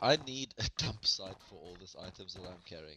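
In a dry, close sound with no echo, a man with a South African accent speaks at a fairly slow pace, his very deep, low voice carrying a bright, sharp tone. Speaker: gamer. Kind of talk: casual gaming chat. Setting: online voice chat.

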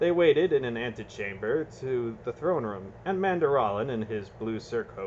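The text is read aloud in a natural voice.

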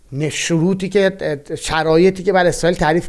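A man speaks at a fairly quick pace in a high voice with ordinary pitch variation. The background is quiet. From Iran, Bostanabad (East Azerbaijan); Iran. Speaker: political analyst. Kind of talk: solo political commentary. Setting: recording while traveling, varying locations. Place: home room.

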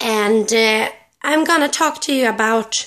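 In a quiet background, a woman with a Swedish accent speaks at a fairly slow pace and a high pitch. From Sweden. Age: 20s. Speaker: pet owner vlogger. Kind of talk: casual talk to camera. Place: home room. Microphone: phone near.

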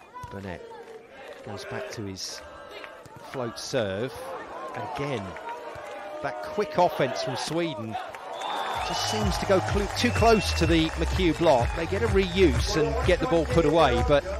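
A man with an animated tone, fairly slow pace, long and frequent pauses, big swings in loudness, and noticeable background noise. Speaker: play-by-play commentator. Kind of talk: live play-by-play sports commentary with exclamations. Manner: animated, bursts of excitement on big plays.

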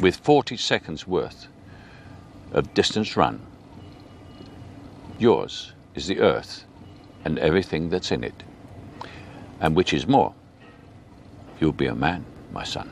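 With very deep, low pitch and very wide swings in it, a man talks at a fairly slow pace, leaving long, frequent pauses, in a dry, echo-free recording with light background noise. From England. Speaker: actor. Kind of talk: poetry reading. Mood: calm, earnest, measured. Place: garden.

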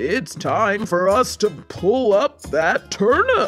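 Over faint background music, a woman uses a put-on character voice at a medium pitch and a very slow pace. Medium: read story.

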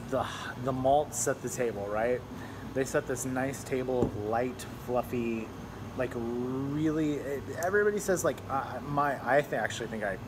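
Fairly slow speech by a man, noticeable background noise underneath. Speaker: beer reviewer. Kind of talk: casual review chat. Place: bar. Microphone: phone near.

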